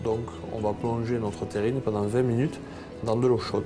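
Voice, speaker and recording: The speaker talks in a southern French accent. Music plays in the background. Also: man. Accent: southern French, sing-song. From Hautes-Pyrénées, France. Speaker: chef. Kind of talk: cooking demonstration.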